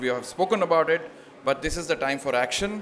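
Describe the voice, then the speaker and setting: A man with an Indian accent speaks at a fairly quick pace over noticeable background noise. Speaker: panel moderator. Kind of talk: moderating a panel.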